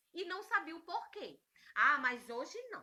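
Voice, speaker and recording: In a raised, projected voice, the speaker uses an animated tone and lively intonation at a fairly slow pace. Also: woman. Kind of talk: talk on relationships.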